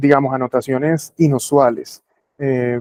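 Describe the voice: In a dry, close sound with no echo, a man at a medium pitch talks at a fairly slow pace with a dark, mellow tone and fairly even intonation.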